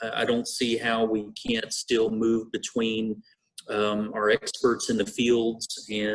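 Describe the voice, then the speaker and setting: A man with a Texan accent. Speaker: school district administrator. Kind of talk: board meeting presentation. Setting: video conference.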